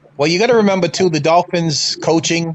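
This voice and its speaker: A man with an American accent talks at a fairly quick pace in a fairly high pitch. Noticeable background noise can be heard behind him. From Massachusetts. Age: 60s. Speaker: fan panelist. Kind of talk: casual sports talk. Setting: live stream.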